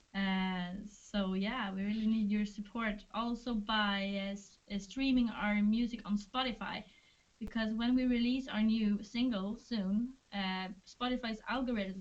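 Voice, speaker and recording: In a Swedish accent, a woman speaks at a fairly slow pace with monotone, flat intonation. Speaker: band member. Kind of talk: livestream Q&A chat. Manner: halting.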